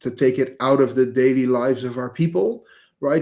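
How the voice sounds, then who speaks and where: A man with a Dutch accent speaks at a moderate pace. His medium pitch stays monotone and flat. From Netherlands, village near Amsterdam. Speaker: agency CEO. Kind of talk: podcast interview. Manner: halting, many fillers.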